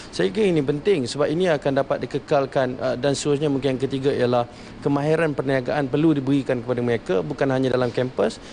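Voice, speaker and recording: Ordinary pitch variation and a very fast pace against noticeable background noise. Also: man. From Malaysia, Kuala Lumpur. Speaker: youth delegate. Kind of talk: interview. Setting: on location at parliament.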